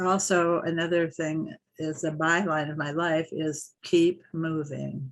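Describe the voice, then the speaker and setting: Speaking at a very slow pace, a woman keeps a monotone, flat intonation at a fairly low pitch. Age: 80s+. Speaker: retiree interviewed about aging. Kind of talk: interview.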